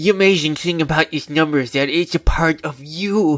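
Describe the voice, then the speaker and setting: A put-on character voice has a nervous tone and a moderate pace. The sound is dry and close, with no echo. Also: man, fairly high pitch for a man. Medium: read story. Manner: earnest, nervous, overly emotional.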